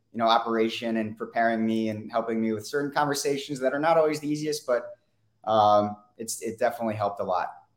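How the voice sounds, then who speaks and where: With an American accent, a man talks at a very fast pace using fairly even intonation. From Weston area, US. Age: 20s. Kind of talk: interview.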